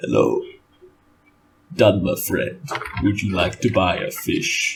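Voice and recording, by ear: In a put-on, gravelly character voice, a man talks at a fairly slow pace.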